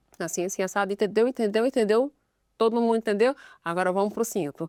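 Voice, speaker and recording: Dry and close with no echo on a very clean recording with a silent background, a woman's dark, mellow voice at medium pitch races at a very fast pace with fairly even intonation. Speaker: sign language interpreter. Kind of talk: casual chat. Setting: studio.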